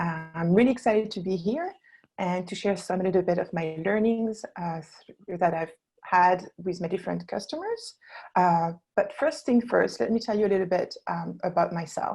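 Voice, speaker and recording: A woman's medium-pitched voice with a French accent, somewhat breathy, dark and mellow in tone, at a moderate pace with ordinary pitch variation, against a quiet background. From France, Burgundy. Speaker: founder of a wine label design company. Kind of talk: webinar presentation. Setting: online webinar. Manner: hesitant, many fillers.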